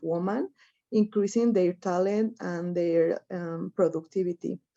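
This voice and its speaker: A woman's dark, mellow voice with a Spanish accent, in a dry, close sound with no echo against a quiet background. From Mexico. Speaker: activist, campaign coordinator. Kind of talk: panel presentation. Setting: webinar. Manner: halting.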